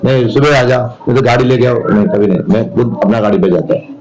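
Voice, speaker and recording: Noticeable background noise sits behind a voice whose pitch moves in an ordinary way. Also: man. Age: 60s. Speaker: local party politician. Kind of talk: interview.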